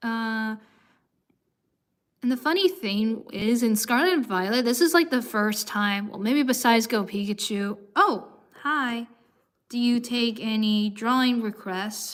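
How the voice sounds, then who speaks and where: A woman speaks in an ordinary speaking voice at a fairly slow pace. Her pitch sits fairly high, with ordinary variation. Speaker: streamer. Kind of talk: casual chat. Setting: live stream.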